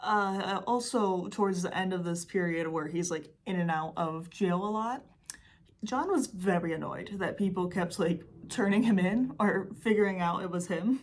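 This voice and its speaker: A medium-pitched woman with a Michigan accent, moderate pace and ordinary pitch variation. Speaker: true crime YouTuber. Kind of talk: casual true crime talk to camera. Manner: casual, chatty, sarcastic.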